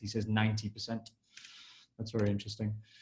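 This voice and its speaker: Medium-pitched male voice with an English accent. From England. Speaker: session moderator. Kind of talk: live Q&A webinar.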